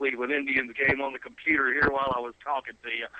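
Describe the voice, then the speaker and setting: A man with a fairly high-pitched voice talks at a very fast pace over noticeable background noise. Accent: American. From South Carolina. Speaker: son of a sports broadcaster. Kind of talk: interview. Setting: phone call.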